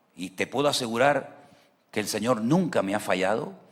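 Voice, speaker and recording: Amid audible room echo, a man with a medium pitch talks at a moderate pace with lively intonation. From Venezuela. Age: 60s. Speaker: pastor. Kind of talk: sermon. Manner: animated.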